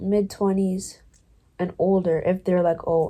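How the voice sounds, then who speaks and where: A dark, mellow tone at a fairly slow pace, monotone and flat, on a very clean recording with a silent background. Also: woman. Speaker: book vlogger. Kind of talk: casual vlog chat. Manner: rambling, filler-heavy; loud.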